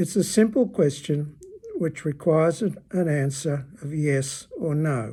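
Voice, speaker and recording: A man's dark, mellow voice with an Australian accent, fairly high in pitch and fairly slow, on a very clean recording with a silent background. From Australia, Melbourne. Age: 80s+. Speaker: retired teacher. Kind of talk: personal opinion talk.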